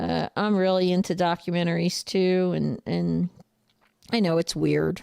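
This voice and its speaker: In a New Jersey accent, a woman talks at a fairly slow pace on a very clean recording with a silent background and a dry, close sound with no echo. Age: 40s. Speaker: truck driver and trainer. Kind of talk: casual livestream chat. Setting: livestream with chat. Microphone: new microphone setup.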